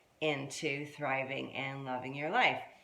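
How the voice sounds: At a fairly slow pace, a fairly bright voice comes through with audible room echo. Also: woman.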